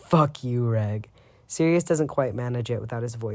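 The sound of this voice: Reading delivered in an unforced voice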